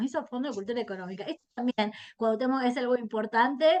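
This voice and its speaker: With an Argentine accent, a woman speaks in a high voice with ordinary pitch variation. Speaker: historian. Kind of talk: interview. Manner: halting.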